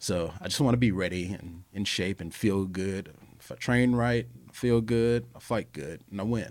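In a very clean recording over a silent background, a man with an American accent speaks in a plain, everyday voice, fairly low in pitch, with ordinary pitch variation at a moderate pace. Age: 40s. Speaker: professional fighter. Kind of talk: casual chat.

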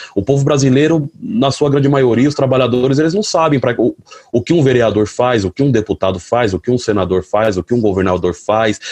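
In a dry, close recording with no echo, a man with a medium pitch talks at a fairly quick pace with lively intonation. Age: 30s. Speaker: delivery motorcycle courier and activist. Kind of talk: panel talk. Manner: colloquial, halting with repetitions.

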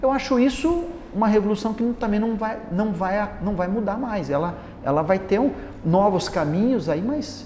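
Noticeable background noise surrounds a man whose high-pitched voice has lively intonation and a moderate pace. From Paraná, Brazil. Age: 50s. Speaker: architect. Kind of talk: interview.

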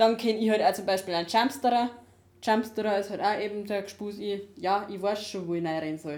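A woman speaks at a fairly quick pace. Her pitch is medium. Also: ordinary pitch variation. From Upper Bavaria, Dachau hinterland. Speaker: podcast co-host. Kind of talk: casual chat. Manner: quiet. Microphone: laptop recording, levels too quiet.

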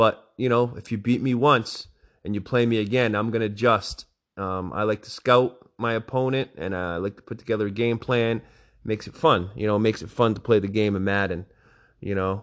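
Against a quiet background, a man talks fairly quickly in a plain, everyday voice of medium pitch with fairly even intonation. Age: 40s. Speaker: gaming league podcast host and high school football coach. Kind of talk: casual solo recap of a video game league. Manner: casual with frequent fillers.

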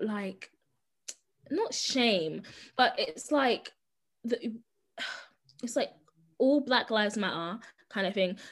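At a very slow pace, a woman speaks at a fairly high pitch with lively intonation. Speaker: podcast co-host, sociology student. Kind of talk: casual chat. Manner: variable volume.

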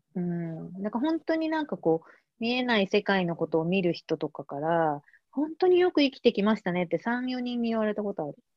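Very wide swings mark this woman's pitch. She speaks at a fairly quick pace. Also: medium pitch for a woman. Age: 40s. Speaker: artist. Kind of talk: casual interview conversation.

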